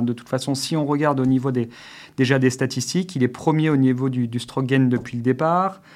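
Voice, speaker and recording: Fairly quick and fairly even in intonation, a man speaks in an ordinary speaking voice at medium pitch. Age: 30s. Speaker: former pro golfer turned golf coach. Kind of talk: casual chat. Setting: studio.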